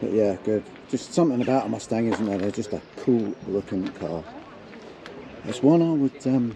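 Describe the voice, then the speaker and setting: The speech moves at a moderate pace with lively intonation and long, frequent pauses. Noticeable background noise can be heard. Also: man, medium pitch for a man. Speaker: car vlogger. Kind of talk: casual vlog commentary. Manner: quiet; hesitant, many fillers.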